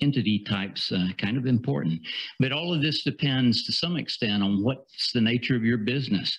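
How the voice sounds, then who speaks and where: Somewhat breathy and at a medium pitch, a man speaks in a Southern US accent at a fairly quick pace with lively intonation. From US South. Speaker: international business attorney. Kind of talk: conference presentation. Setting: seminar with audience and slides. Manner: halting, many fillers and repeats.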